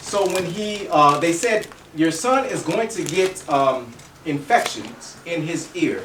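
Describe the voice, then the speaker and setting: A high-pitched man talks with lively intonation, amid noticeable background noise and audible room echo. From Kentucky. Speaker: health educator. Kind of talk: health expo talk with demonstration. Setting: expo room with audience. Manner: fast.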